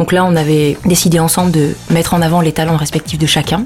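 Music plays in the background as a woman speaks at a moderate pace. Her fairly low voice keeps a fairly even intonation. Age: 40s. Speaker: business founder and workshop facilitator. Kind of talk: interview.

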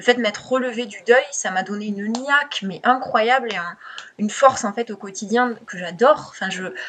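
Her voice sits at a fairly high pitch, and a woman speaks with ordinary pitch variation. Noticeable background noise runs underneath. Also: moderate pace, big swings in loudness. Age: 20s. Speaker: copywriter. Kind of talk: interview.

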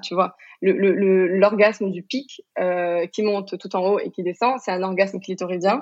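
Music plays in the background as a woman speaks at a moderate pace. Her pitch is medium and her intonation fairly even. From Morocco. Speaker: sex coach. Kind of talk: interview conversation.

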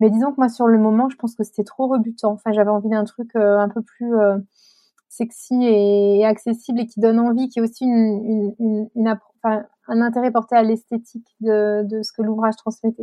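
At a moderate pace, a woman speaks in a fairly high pitch with monotone, flat intonation. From France, Chartres. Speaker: natural dyer and author. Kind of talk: interview. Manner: hesitant, many fillers.

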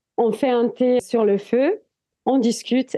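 Dark, mellow female speech over a quiet background. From Italy, Italian Alps. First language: Italian (speaking French). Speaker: adventurer and documentary filmmaker. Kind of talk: casual interview.

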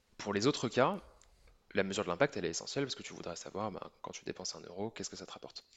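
Talking at a very fast pace, a man uses a fairly low pitch. His intonation is lively, with big swings in loudness. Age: 30s. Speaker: startup co-founder. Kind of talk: interview.

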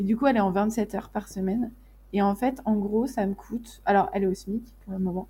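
A woman's somewhat breathy voice has a dark, mellow tone, a medium pitch and fairly even intonation. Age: 20s. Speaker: graphic designer running an agency. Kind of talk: casual interview chat.

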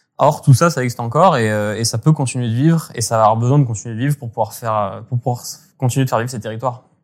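Ordinary pitch variation runs through this very fast delivery. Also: man, medium pitch for a man. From French Alps (Hautes-Alpes, Gap). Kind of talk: interview. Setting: remote call. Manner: halting.

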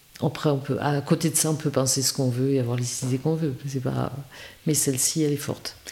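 A woman speaks at a fairly quick pace in monotone, flat intonation. Noticeable background noise is present. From rural France. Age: 60s. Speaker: village mayor, former school head. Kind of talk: interview. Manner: halting, frequent repetitions.

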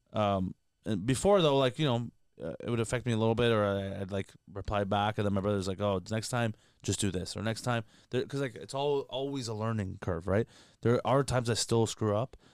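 In a very clean recording with a silent background, a man with a Toronto accent speaks at a fairly low pitch. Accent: Canadian English, Toronto. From Canada. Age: 20s. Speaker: comedian. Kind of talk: casual chat. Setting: studio. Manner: animated.

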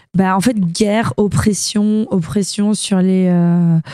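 A woman with a dark, mellow tone speaks at a very slow pace with fairly even intonation. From southern France. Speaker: singer and bassist. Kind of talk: interview. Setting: backstage dressing room.

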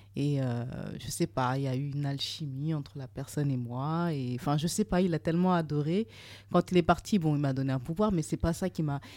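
Captured on a very clean recording with a silent background, a woman with a very deep, low pitch and a dark, mellow tone speaks at a fairly quick pace with ordinary pitch variation. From Burkina Faso. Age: 30s. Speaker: private chef. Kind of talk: interview.

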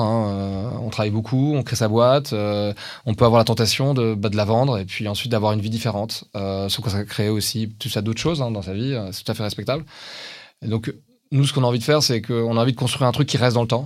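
A man's plain, everyday voice, medium in pitch, fairly quick and fairly even in intonation, on a very clean recording with a silent background. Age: 40s. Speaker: tech company founder and CEO. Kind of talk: interview.

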